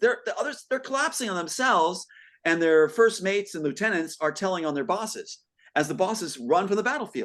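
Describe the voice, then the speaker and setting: A man speaks very fast at a high pitch, his tone animated. His pitch swings very widely against a quiet background. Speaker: guest on talk show. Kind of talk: casual conversation.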